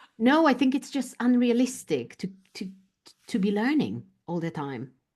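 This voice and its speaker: Speaking at a moderate pace with a Polish accent, a woman at a fairly high pitch makes very wide pitch swings, with vocal fry in her voice. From Poland. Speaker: business coach. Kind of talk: interview answer.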